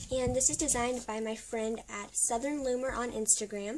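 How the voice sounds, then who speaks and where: Noticeable background noise accompanies a woman who talks at a moderate pace, her pitch moving in an ordinary way. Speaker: craft tutorial youtuber. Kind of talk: tutorial. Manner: casual, with many fillers.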